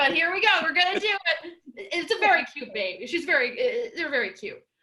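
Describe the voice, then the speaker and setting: A woman's raised, projected voice at extremely high pitch, with very wide pitch swings, big swings in loudness and a fairly quick pace. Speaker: comedian. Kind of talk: stand-up. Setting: video call.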